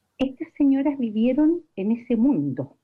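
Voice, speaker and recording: A woman sounds somewhat breathy as she talks at a fairly slow pace. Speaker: family friend. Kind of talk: recorded tribute.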